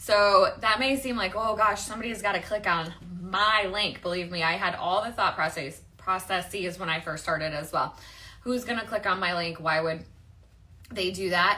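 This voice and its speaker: A woman with a Midwestern accent talks at a moderate pace, her medium pitch showing ordinary variation. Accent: Midwestern, nasal. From US Midwest, Michigan. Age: 40s. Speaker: online marketing coach. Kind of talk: livestream chat and pitch. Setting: livestream. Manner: casual, chatty.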